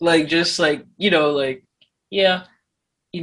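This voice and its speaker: With fairly even intonation, a woman talks at a fairly low pitch. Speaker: podcast co-host. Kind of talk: casual chat.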